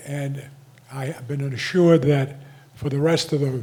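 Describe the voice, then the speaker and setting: A man's somewhat breathy, fairly high voice with fairly even intonation. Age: 80s+. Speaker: community association delegate. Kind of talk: community meeting remarks. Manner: halting.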